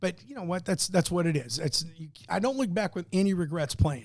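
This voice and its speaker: A high-pitched man with a Midwestern American accent and lively intonation. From US Midwest, Alton, Illinois. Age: 60s. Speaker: high school soccer coach. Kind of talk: podcast interview.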